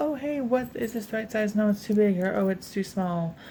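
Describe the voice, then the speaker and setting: A woman whispers quietly at a fairly quick pace. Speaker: crafting YouTuber. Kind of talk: craft tutorial vlog. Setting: home, filmed at night. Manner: casual, filler-heavy.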